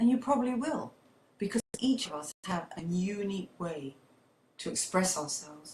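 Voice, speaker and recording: A woman speaks at a moderate pace and a medium pitch, somewhat breathy. Her voice makes very wide pitch swings. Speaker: public speaking coach. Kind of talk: livestream talk. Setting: at home with air conditioning on. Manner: lively, conversational.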